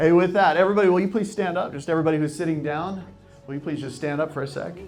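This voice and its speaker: Over music in the background, a man with a fairly high pitch speaks at a very fast pace in an energetic, upbeat tone with ordinary pitch variation. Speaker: sales and real estate coach, live speaker. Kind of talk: live audience workshop opener, guided breathing exercise. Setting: live room with microphone and audience. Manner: energetic, upbeat, encouraging, jokes with the crowd.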